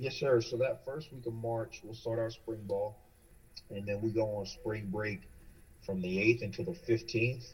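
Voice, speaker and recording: Somewhat breathy, a man with an American accent speaks at a moderate pace. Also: medium pitch for a man, ordinary pitch variation. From North Carolina. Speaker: college football coach. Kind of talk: coaching interview.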